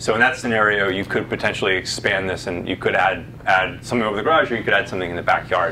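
Over light background noise, a man speaks with ordinary pitch variation. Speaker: presenter. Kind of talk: answer to an audience question, presentation. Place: meeting room.

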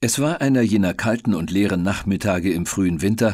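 Speaking at a fairly slow pace, a man with a fairly low pitch uses lively intonation in a very clean recording with a silent background. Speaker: audiobook narrator. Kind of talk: audiobook reading.

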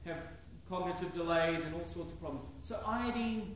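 A man with audible room echo, light background noise, and a moderate pace. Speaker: preacher. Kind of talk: sermon. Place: church. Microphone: podium.

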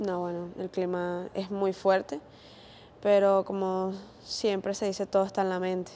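Over light background noise, a woman speaks in a dark, mellow tone with monotone, flat intonation and long, frequent pauses. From Venezuela, island region. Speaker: footballer. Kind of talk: post-match interview. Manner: halting. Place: hall. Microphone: lapel.

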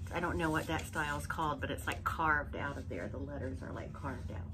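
A woman talks with ordinary pitch variation. Loud background noise runs behind her. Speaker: haul vlogger. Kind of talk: casual vlog chat. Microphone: phone near.

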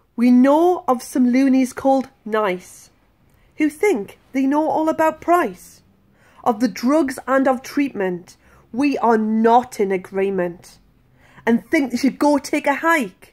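Playful and sing-song, a high-pitched woman speaks at a very slow pace with lively intonation and very even loudness, against a quiet background. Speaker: patient advocate. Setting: video blog to camera. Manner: rhythmic, sing-song delivery of rhymes with playful emphasis; earnest, sincere and hopeful when speaking about the campaign. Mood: earnest, indignant. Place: home room. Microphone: phone near.

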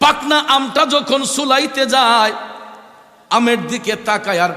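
Over noticeable background noise, a man speaks in a raised, projected voice with an animated tone and lively intonation. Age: 40s. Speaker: Islamic preacher. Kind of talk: sermon. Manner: animated, emotional.

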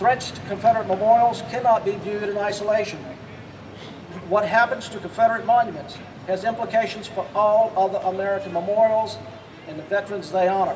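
This man has a high-pitched voice, fairly even intonation and a fairly quick pace, with light background noise behind him. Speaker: speaker. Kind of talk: prepared speech. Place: street.

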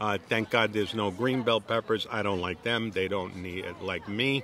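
This man speaks at a moderate pace with fairly even intonation and a fairly low pitch. There is light background noise, and the sound is dry with no echo. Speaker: home chef reviewing a restaurant. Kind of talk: casual vlog chat. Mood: relaxed, chatty. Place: garden. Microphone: phone near.

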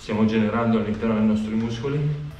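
A man speaks over light background noise, with audible echo from the room. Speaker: cycling coach. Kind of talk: workout tutorial. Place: garage.

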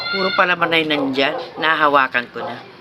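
A woman at a fairly quick pace with very wide pitch swings, over noticeable background noise. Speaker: vlogger. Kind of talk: casual food vlog. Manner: chewing while talking.

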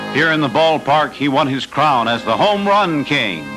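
Over music in the background, a man speaks at a fairly slow pace in a solemn tone. His pitch is fairly high for a man, with ordinary variation. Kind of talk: 1940s newsreel narration.

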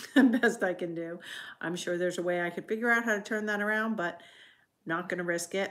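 The pitch varies in an ordinary way, and the background is quiet. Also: woman, fairly quick pace. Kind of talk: casual live stream talk. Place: home room. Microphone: phone near.

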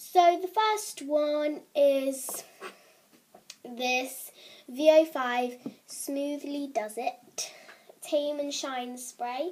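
Her voice high, a woman speaks at a very slow pace with long, frequent pauses and big swings in loudness. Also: ordinary pitch variation. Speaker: beauty vlogger. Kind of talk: tutorial.

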